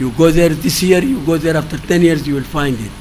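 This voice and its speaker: Over noticeable background noise and audible room echo, a man with a fairly high voice talks at a moderate pace. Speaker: professor, expert speaker. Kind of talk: expert presentation.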